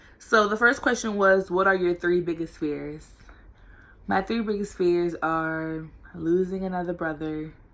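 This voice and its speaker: Speaking at a fairly slow pace with an American accent, the voice shows ordinary pitch variation on a very clean recording with a silent background. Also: woman, fairly low pitch for a woman. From Norfolk, Virginia, US. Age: 18. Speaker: college student vlogger. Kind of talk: casual vlog Q&A. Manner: loud and energetic.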